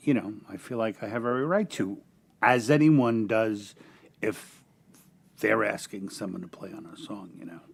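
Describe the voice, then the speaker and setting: A man with a New York accent, medium pitch, lively intonation and a moderate pace, plus long, frequent pauses and big swings in loudness. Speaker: indie singer-songwriter. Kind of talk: casual panel chat.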